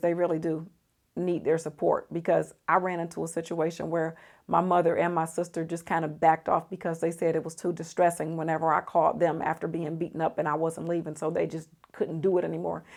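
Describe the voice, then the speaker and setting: A woman's fairly low voice at a fairly quick pace. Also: very clean recording, silent background. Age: 50s. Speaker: psychologist. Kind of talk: casual talk to camera.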